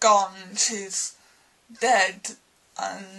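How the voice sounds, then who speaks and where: A woman speaks at a very slow pace. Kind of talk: casual film review to camera. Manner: halting, stumbling over words.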